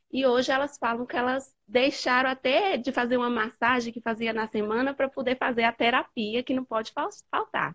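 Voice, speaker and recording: This woman speaks at a moderate pace in a high voice, and her intonation stays fairly even. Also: quiet background. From Bahia, Brazil. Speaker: nutritionist. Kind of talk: live call-in conversation. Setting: video call. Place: home room. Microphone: earbuds.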